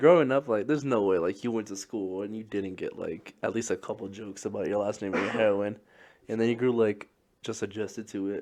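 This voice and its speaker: A man with an unremarkable speaking voice and a fairly low pitch talks at a fairly quick pace with ordinary pitch variation. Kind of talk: casual podcast conversation.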